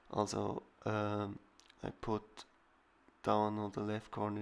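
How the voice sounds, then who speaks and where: A man's fairly low-pitched voice with a non-native accent. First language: not English. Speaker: digital artist. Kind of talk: tutorial voiceover. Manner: halting.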